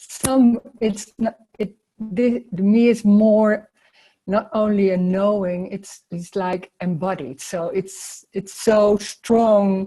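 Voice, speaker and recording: A woman's somewhat breathy voice with a dark, mellow tone and a non-native accent, very slow, with ordinary pitch variation. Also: medium pitch for a woman. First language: not English. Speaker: spiritual teacher. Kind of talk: casual chat. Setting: video call. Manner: halting.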